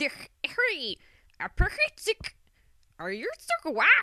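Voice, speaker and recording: This is a put-on character voice at an extremely high pitch. It moves along at a very slow pace. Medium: read story. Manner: chattering, squawking.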